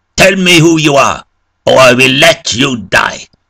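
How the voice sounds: Using a put-on character voice with vocal fry, a man speaks at a fairly slow pace in a bright, sharp tone with lively intonation. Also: medium pitch for a man.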